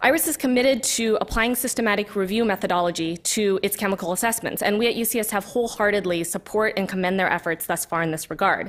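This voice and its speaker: A woman at a very fast pace, with hardly any pauses. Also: medium pitch for a woman, ordinary pitch variation. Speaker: public commenter, environmental health scientist. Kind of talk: public comment to a committee.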